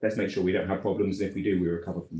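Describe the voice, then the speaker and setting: The voice has a dark, mellow tone and is somewhat breathy. It speaks with a British accent. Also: man. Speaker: regulation consultant, former regulator. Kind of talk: conference panel presentation. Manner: fast.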